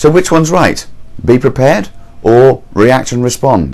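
Fairly slow speech from a man, pitched in the middle range. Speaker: motivational speaker. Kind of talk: motivational talk to camera.

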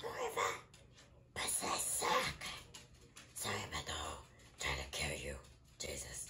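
In a raspy, put-on character voice, the speaker moves at a moderate pace with long, frequent pauses over light background noise. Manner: casual, offhand.

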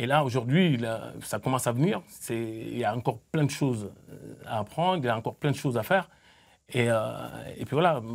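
At a moderate pace and medium pitch, a man talks with lively intonation, vocal fry, and long, frequent pauses over a quiet background. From Senegal (Mbour, near Dakar); Senegal. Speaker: football coach. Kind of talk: studio interview. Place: studio. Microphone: lapel.

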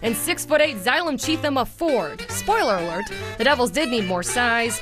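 A woman's high voice with very wide pitch swings at a fairly quick pace, dry with no echo, over clear music in the background. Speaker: sports reporter. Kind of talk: TV sports news anchoring. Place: studio.

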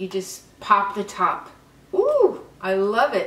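A woman's voice with audible room echo. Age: 70s. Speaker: beauty vlogger. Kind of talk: makeup tutorial. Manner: animated. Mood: delighted, enthusiastic.

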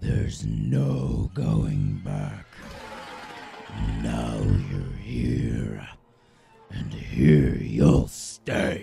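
A put-on, raspy character voice, menacing in tone and very slow, with long, frequent pauses, audible echo and music in the background. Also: man, very deep, low pitch for a man. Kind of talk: voice reel. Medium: voice reel.

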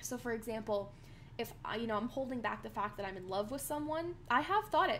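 A woman speaks with vocal fry at a fairly quick pace. Light background noise sits underneath. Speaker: acting teacher. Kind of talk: tutorial. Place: home room. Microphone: webcam.

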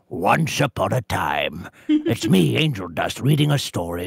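A man doing a put-on character voice talks at a medium pitch and a moderate pace. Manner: storyteller.

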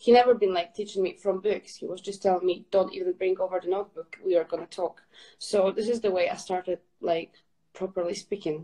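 A woman with a slight Scottish accent speaks in a dark, mellow tone at a fairly quick pace with fairly even intonation, against a quiet background. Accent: Scottish-tinged English. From Poland. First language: Polish. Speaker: fitness ambassador; guest. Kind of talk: casual chat. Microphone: video call.

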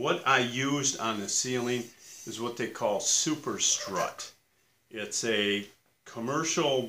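At a very slow pace, a man talks in a bright, sharp tone with ordinary pitch variation. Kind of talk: casual vlog chat. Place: workshop.

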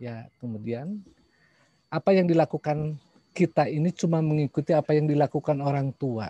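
Dry and close with no echo, a man's somewhat breathy, dark, mellow voice sits at a fairly high pitch, moving at a moderate pace with ordinary pitch variation. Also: quiet background. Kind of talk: online panel presentation. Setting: video call.

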